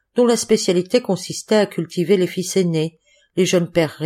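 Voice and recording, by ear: The background stays quiet. A natural voice reads aloud, its pitch varying in an ordinary way.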